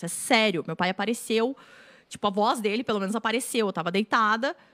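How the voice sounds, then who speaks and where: A woman talks at a very fast pace in a fairly high voice, with big swings in loudness. The sound is dry and close with no echo. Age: 30s. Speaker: writer and screenwriter. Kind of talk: casual chat.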